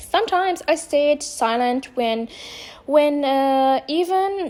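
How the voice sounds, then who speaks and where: With a non-native accent, a woman speaks very slowly at a high pitch, her intonation lively. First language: not English. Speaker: vlogger. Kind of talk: personal monologue. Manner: halting.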